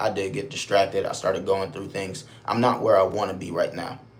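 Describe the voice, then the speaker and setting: With an American accent, a man talks at a fairly quick pace amid audible room echo and noticeable background noise. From Buffalo, New York, US. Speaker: live streamer. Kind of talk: casual live stream chat. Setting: motel room.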